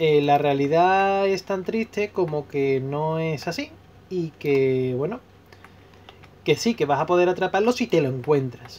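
A man talks at a fairly slow pace in a normal speaking voice. His pitch sits fairly high, with ordinary variation. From Spain, Seville. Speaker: gaming YouTuber. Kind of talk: casual vlog commentary while playing.

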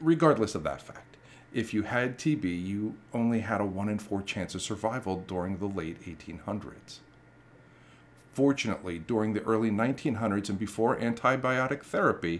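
A man speaks at a moderate pace in a fairly low pitch with ordinary pitch variation. It is a plain, everyday voice. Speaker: history channel host. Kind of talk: documentary narration to camera.

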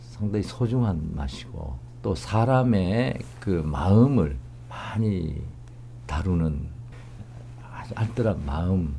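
Over light background noise, a man with a very deep, low voice speaks very slowly, his pitch swinging very widely between long, frequent pauses. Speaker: professor interviewee. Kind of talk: interview answer. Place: hall.

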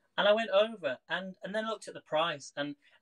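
A man at a moderate pace over a quiet background. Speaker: livestream host. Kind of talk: casual vlog chat. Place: kitchen. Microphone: phone near.

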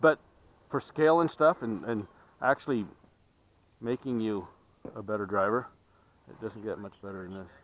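Recorded dry with no echo, a man talks at a moderate pace with big swings in loudness. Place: open country.

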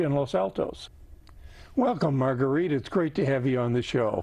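Speaking at a moderate pace with a quiet background, a man with an American accent has a dark, mellow tone and lively intonation. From US Midwest. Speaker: community TV host. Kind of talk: interview. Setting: studio. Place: studio. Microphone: lapel.

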